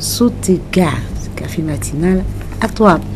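A woman talks at a fairly slow pace while light background noise runs behind her. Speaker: TV morning show host. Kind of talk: broadcast greetings to viewers. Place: studio. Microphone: studio mic.

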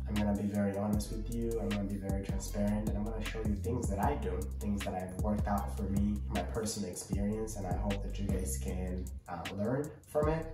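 Over clear music in the background and audible room echo, a man speaks fairly quickly with hardly any pauses. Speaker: budget analyst. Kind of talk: casual talk to camera. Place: home room.

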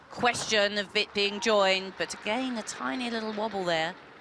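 Against noticeable background noise, a woman speaks at a moderate pace with medium pitch. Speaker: gymnastics expert analyst. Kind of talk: sports commentary, technical expert analysis of beam routines. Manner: measured, precise, matter-of-fact, clipped technical explanations.

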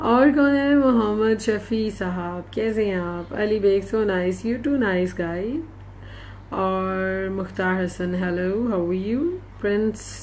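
Heard with audible room echo, a woman with a Pakistani accent speaks in an animated tone at medium pitch with ordinary pitch variation. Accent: Urdu-speaking Pakistani. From Pakistan, Lahore. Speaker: stage actress and dancer. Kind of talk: Facebook live chat reading viewer comments. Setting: live video stream. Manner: chatty, animated.

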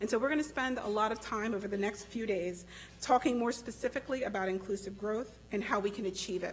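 A woman speaks at a fairly quick pace with fairly even intonation. Her voice is somewhat breathy, over light background noise. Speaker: conference host giving opening remarks. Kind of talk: opening speech. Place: hall. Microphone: podium.

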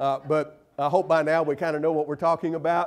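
A man at a moderate pace. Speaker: visiting preacher. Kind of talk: sermon. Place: church.

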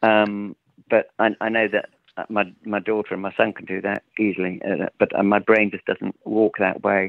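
At a moderate pace, a man speaks in a fairly low pitch with monotone, flat intonation. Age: 60s. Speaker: sound artist. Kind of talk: interview.

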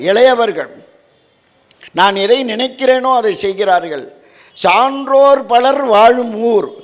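Against a quiet background, a man speaks at an extremely high pitch with ordinary pitch variation. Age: 70s. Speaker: religious orator. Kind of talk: devotional lecture. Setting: temple hall with audience. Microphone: handheld.

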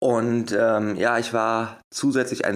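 This is a man speaking at a medium pitch. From Germany, Wuppertal. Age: 30s. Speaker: hypnosis coach and motivational speaker. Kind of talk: interview.

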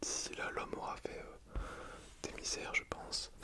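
Whispering at a moderate pace, a soft-spoken man keeps a calm tone over loud background noise. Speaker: vlogger. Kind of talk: casual explanatory vlog chat. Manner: soft close whisper, calm. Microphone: phone near.

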